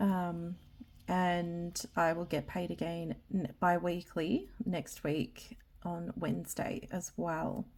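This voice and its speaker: A woman with an Australian accent speaks at a very slow pace in a dark, mellow tone. The recording is very clean, with a silent background. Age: 30s. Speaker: budgeting vlogger. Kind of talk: casual vlog talk. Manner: hesitant, many ums.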